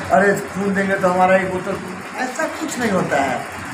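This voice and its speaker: With audible room echo and noticeable background noise, a man speaks at a high pitch with ordinary pitch variation. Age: 60s. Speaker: blood donor, association member. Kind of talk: interview.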